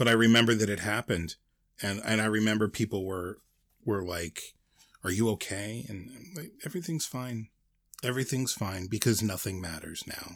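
Heard on a very clean recording with a silent background, an ordinary speaking voice moves at a moderate pace with ordinary pitch variation and big swings in loudness. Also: man, fairly low pitch for a man. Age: 40s. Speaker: podcast co-host. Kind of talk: casual chat.

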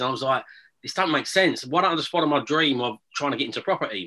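Very fast and in an Essex accent, a man talks with a fairly high pitch and a bright, sharp tone. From Essex, England. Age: 40s. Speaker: property investor. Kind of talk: casual interview.

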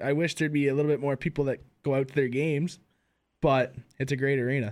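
A man with an Ontario accent speaks at a very fast pace, his fairly high pitch showing ordinary variation and his loudness very even, in a very clean recording with a silent background. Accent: Canadian (Ontario). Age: 20s. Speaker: hockey podcast co-host. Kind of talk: casual chat.

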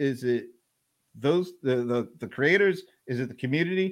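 With an American accent, a man talks at a fairly slow pace. His intonation is lively. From US South (Atlanta). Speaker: live stream host. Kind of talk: casual interview. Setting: live stream video call.

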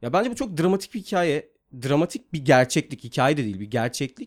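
Pitch swings very widely as a man talks fairly quickly. Behind him the background is silent on a very clean recording. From Turkey (İzmir and Mersin). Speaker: screenwriter and film director. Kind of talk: casual interview.

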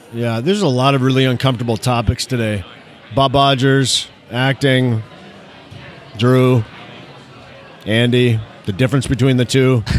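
Noticeable background noise sits behind a man with an American accent, speaking at medium pitch and a moderate pace. His intonation is fairly even, broken by long, frequent pauses. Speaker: emergency physician and educator, former actor. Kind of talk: casual chat. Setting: recording in a bar or restaurant.

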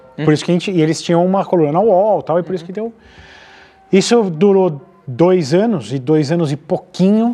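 A man with a high-pitched voice talks at a fairly quick clip, his pitch moving in an ordinary way over noticeable background noise. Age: 30s. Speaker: automotive YouTuber. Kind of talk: casual chat.

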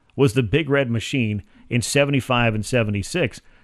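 A man speaks at a medium pitch with an American accent. He has an ordinary speaking voice and ordinary pitch variation. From Georgia, US South. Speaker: sports radio host. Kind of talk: sports talk radio. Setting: radio studio.

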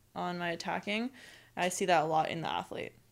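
A woman's plain, everyday voice with an American accent, fairly low in pitch and fairly quick in pace, in a very clean recording with a silent background. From United States. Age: 20s. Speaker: professional beach volleyball player. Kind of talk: casual chat.

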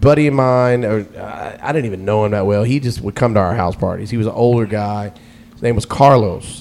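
Talking at a fairly quick pace, a man with an American accent has an unremarkable speaking voice, fairly low in pitch, with ordinary pitch variation. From US South, Atlanta. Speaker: radio DJ. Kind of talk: casual chat.

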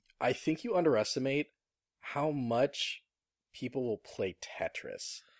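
In a dry, close sound with no echo, a man with a fairly high pitch speaks at a fairly slow pace with lively intonation. It is an ordinary speaking voice. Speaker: podcast host. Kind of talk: casual chat.

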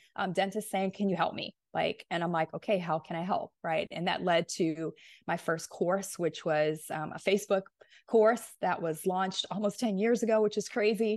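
Against a quiet background, a woman speaks at a moderate pace and medium pitch, with ordinary pitch variation. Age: 40s. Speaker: dentist and business coach. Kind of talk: interview. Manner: animated.

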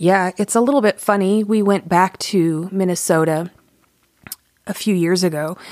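With an American accent, a woman speaks at a moderate pace in a plain, everyday voice, her pitch medium with ordinary variation and her loudness very even. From US South (Atlanta, Georgia). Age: 40s. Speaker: author. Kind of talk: interview conversation. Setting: studio.

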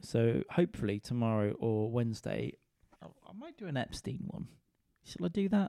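A dark, mellow tone in a British accent, at a moderate pace with very wide pitch swings. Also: man, medium pitch for a man. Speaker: comedian and podcaster. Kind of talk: casual solo monologue. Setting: lying in a dark cold room at home. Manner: rambling, laid-back.

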